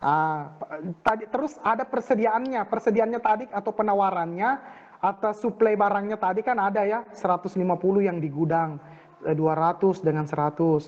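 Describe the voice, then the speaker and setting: Pitch variation is ordinary. The pace stays moderate. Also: man, high pitch for a man. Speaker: university lecturer. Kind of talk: online lecture. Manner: halting, many fillers. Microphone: voice too quiet.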